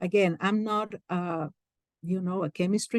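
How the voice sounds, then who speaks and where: A woman's medium-pitched voice in a Peruvian accent, fairly slow in pace, with ordinary pitch variation and a dry, close sound with no echo. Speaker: career coach. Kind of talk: lecture.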